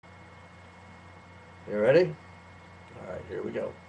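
A man's voice over noticeable background noise. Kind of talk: poetry reading.

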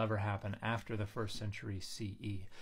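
With a slightly breathy quality, the man's pitch rises and falls in a typical way. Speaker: biblical scholar commentator. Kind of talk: commentary. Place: home room. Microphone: phone near.

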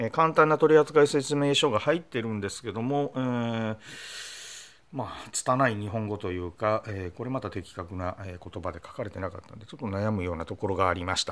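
The voice moves with lively intonation and big swings in loudness. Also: man, fairly low pitch for a man, fairly quick pace. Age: 50s. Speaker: motorcycle blogger demonstrating gear. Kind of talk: product tutorial; tutorial. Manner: frequent filler hesitations; polite formal. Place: home room. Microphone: phone near.

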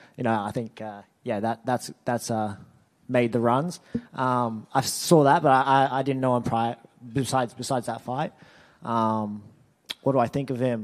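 A man with an Australian accent, at a fairly slow pace with long, frequent pauses and fairly even intonation, against a quiet background. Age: 20s. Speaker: mixed martial arts fighter. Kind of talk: media interview. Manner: halting. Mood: relaxed, friendly, smiling. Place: hall. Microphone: handheld.

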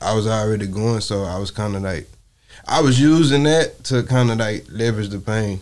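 With an American accent, a man talks at a fairly quick pace in a fairly low pitch with ordinary pitch variation, against a quiet background. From Port Arthur, Texas; Texas. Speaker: rapper; podcast guest. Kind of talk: interview. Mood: reflective, personal. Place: studio. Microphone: lapel.

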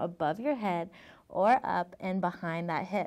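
A calm tone over a quiet background. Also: woman. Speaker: yoga instructor. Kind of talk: guided workout tutorial. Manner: calm, encouraging instructional pace. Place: studio. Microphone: lapel.

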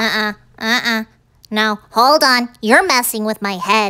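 A cartoonish character voice, female-sounding, fairly high in pitch for a woman and fairly slow in pace. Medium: puppet. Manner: whiny, excitable.

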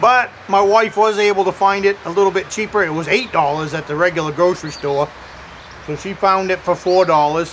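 A man's high voice at a fairly quick pace, with ordinary pitch variation and light background noise. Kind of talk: casual vlog chat. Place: forest.

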